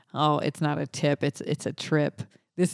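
With an American accent and an animated tone, a woman speaks at a moderate pace in a very clean, dry, close recording with no echo and a silent background. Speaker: podcast co-host and voice-over artist. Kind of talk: casual chat.

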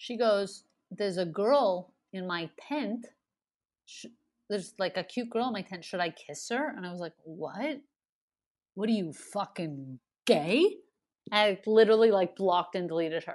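Against a quiet background, a woman at medium pitch speaks at a moderate pace with lively intonation, big swings in loudness, and long, frequent pauses. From Montreal, Canada. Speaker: comedian. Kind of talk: casual interview chat.

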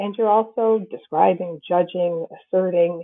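Speaking with an American accent at medium pitch, a woman has ordinary pitch variation and an unremarkable speaking voice. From Massachusetts, New Bedford area. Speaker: philosophy professor. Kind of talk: interview.

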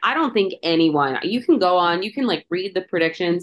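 A woman with an unremarkable speaking voice, an American accent, lively intonation and a moderate pace. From Chicago. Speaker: college football podcast host. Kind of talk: casual chat.

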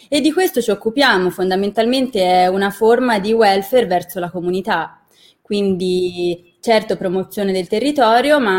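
Using an ordinary speaking voice, a woman talks at medium pitch with ordinary pitch variation. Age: 20s. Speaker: university student and intern. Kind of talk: interview conversation.

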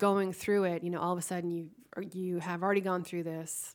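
A medium-pitched woman's voice in an American accent, with fairly even intonation. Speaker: podcast host. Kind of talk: interview. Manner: halting, repeats words.

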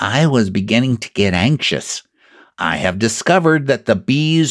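Quiet backdrop, unforced reading voice, lively intonation.

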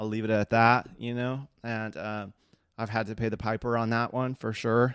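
In an American accent, a man talks at a moderate pace and medium pitch with monotone, flat intonation, the sound dry and close with no echo. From Southern California (Seal Beach / Long Beach). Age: 30s. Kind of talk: personal testimony monologue. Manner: casual with many fillers.

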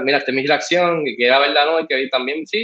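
A man talks at a very fast pace. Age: 40s. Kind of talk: casual interview.

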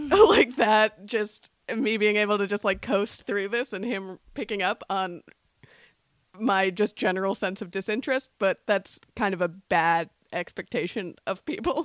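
A woman speaks at a fairly slow pace in an ordinary speaking voice, medium in pitch with ordinary pitch variation, the sound dry and close with no echo. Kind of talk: casual chat.

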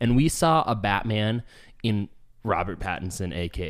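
The recording is very clean, with a silent background. A man speaks in a Californian accent with ordinary pitch variation. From Southern California, San Diego area. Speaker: podcast host. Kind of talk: casual chat. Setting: home studio with echo.

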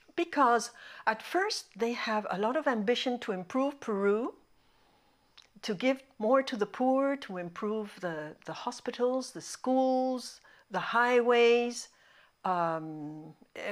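At a very slow pace, a woman speaks in a fairly high pitch with lively intonation. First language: Spanish. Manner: halting, hesitant.

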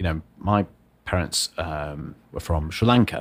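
A man does the talking here. The pitch of his voice is very deep and low. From northern England, Wakefield, Yorkshire. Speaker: entrepreneur and former policy advisor. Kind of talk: casual interview chat. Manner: chatty with frequent fillers.

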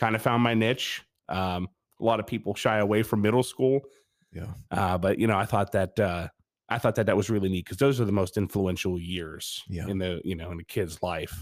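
A fairly quick man with an American accent and an ordinary speaking voice, fairly low in pitch, with ordinary pitch variation, on a very clean recording with a silent background. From Pennsylvania. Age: 40s. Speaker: school board member and former teacher, Air Force veteran. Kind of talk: casual interview.

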